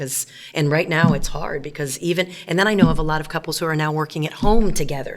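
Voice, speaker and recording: Noticeable background noise surrounds a woman's voice. She talks at a fairly quick pace with a very deep, low pitch. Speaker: teacher and pastor's wife. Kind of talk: interview. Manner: loud; clear enunciation.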